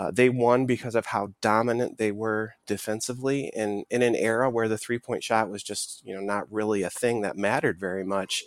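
A man with an American accent speaks at medium pitch with fairly even intonation and hardly any pauses, in an ordinary speaking voice. The recording is very clean, with a silent background. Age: 30s. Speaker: sports podcast co-host. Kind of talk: casual chat.

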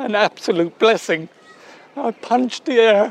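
Over crowd noise in the background, a man with an Irish accent talks in a high voice at a fairly slow pace. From Ireland. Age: 50s. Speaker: bereaved father, attack survivor. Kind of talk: testimony. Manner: halting.

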